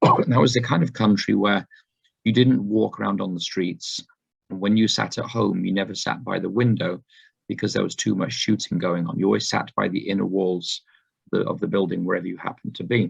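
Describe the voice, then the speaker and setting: A man speaks at a fairly quick pace with vocal fry. His pitch is fairly low. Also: ordinary pitch variation. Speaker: preacher. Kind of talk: sermon. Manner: halting.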